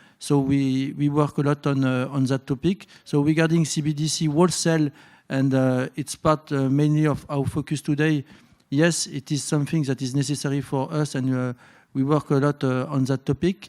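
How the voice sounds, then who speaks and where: A man with a French accent talks at a moderate pace in a fairly high pitch and a monotone, flat intonation, captured on a very clean recording over a silent background. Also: dry, close sound with no echo. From France. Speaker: bank innovation executive, panelist. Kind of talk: conference panel discussion. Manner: halting, many fillers.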